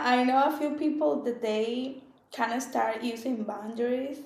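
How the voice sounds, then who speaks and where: With a Spanish accent, a woman speaks at a high pitch and fairly slow pace with ordinary pitch variation and audible room echo. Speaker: podcast co-host. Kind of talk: casual chat.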